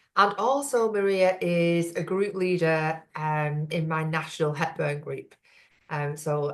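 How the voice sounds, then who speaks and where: A speaker with a Lancashire accent talks with ordinary pitch variation. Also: woman. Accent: Bolton. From northern England, Bolton. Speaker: women's business networking host. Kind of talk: interview.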